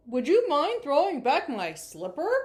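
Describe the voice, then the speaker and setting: Putting on a gruff character voice, a woman speaks high and fairly slowly with very wide pitch swings. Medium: read story.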